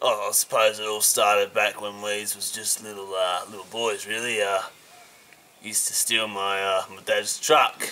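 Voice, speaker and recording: Putting on a character voice, a man drawls at a moderate pace in a fairly low pitch with big swings in loudness. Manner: casual, drawling, says mate.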